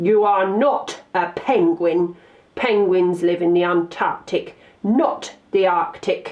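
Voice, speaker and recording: A woman performs a put-on character voice at a medium pitch and a fairly slow pace. Her loudness stays very even, with ordinary pitch variation. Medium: read story. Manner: indignant, pompous.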